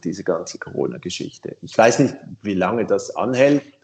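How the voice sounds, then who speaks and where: A man with a Swiss German accent at a moderate pace. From Switzerland. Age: 50s. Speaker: bicycle company co-founder. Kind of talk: casual interview.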